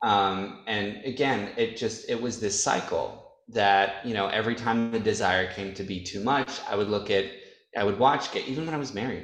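Moving at a moderate pace, a man with an American accent has a normal speaking voice, fairly low in pitch with fairly even intonation. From upstate New York. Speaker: adult film performer. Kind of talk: casual chat.

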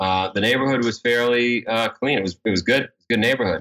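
A man with a New York accent and ordinary pitch variation. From New York (Queens). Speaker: endurance race entrepreneur. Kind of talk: interview.

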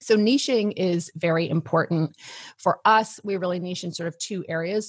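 A woman with a fairly low pitch sounds somewhat breathy in a dry, close recording with no echo. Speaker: business coach. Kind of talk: interview. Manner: elegant.

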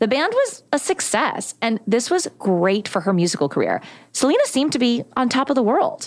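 Speaking with an American accent in an animated tone, a woman with a high pitch moves at a moderate pace, her pitch swinging very widely while her loudness stays very even. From Texas. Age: 40s. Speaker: podcast host. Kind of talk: casual chat.

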